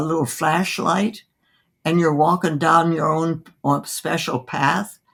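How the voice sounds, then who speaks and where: A woman's very deep, low voice with vocal fry at a very slow pace, in a very clean recording with a silent background. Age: 80s+. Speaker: physician. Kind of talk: interview answer.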